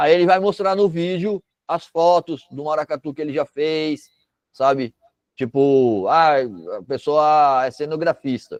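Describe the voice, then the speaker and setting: In a normal speaking voice, a man talks at a fairly slow pace with fairly high pitch and ordinary pitch variation. The sound is dry and close, with no echo. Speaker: cultural project workshop instructor. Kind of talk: online workshop lecture. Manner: casual, conversational.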